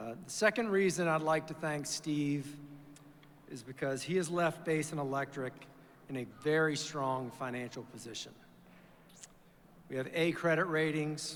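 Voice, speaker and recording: Fairly high in pitch, a man speaks with an American accent and ordinary pitch variation. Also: moderate pace. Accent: Virginia accent, noticeable to locals. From Virginia. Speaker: chief financial officer. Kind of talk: formal speech to an audience. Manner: hesitant fillers.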